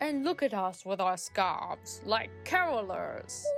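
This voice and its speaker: Over clear background music, a cartoonish character voice speaks at a fairly slow pace. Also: female-sounding voice. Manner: upbeat, cheerful.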